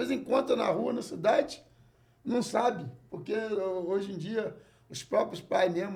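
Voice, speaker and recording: This man talks with lively intonation. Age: 60s. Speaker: jongo master. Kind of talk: casual chat.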